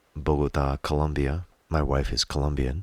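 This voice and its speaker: Against noticeable background noise, a man speaks in a very deep, low pitch. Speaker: singer-songwriter. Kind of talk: casual monologue. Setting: home studio.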